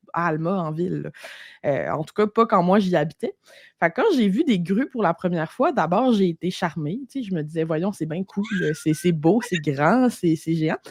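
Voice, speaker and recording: This woman's intonation is lively. The sound is dry and close, with no echo. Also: fairly low pitch for a woman, moderate pace. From Quebec, Lac-Saint-Jean. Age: 30s. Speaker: entrepreneur, copywriter. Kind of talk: podcast interview. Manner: casual, animated.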